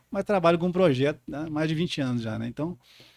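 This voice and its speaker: Speaking with a southern Minas Gerais accent, a man uses a fairly high pitch and lively intonation. The recording is very clean with a silent background. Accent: rural southern Minas (caipira). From rural southern Minas Gerais, Brazil. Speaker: podcast co-host, geographer. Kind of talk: podcast conversation. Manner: halting, many repetitions and fillers.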